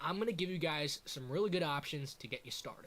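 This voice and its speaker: In an animated tone with lively intonation, a man speaks at a moderate pace and a fairly high pitch. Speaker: YouTuber / streamer. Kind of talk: tutorial. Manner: loud; casual, animated.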